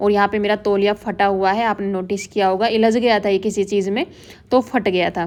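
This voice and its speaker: Her voice sits at a fairly high pitch. The woman keeps to a moderate pace. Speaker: vlogger, housewife. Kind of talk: voice-over vlog narration. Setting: quiet room, fan off.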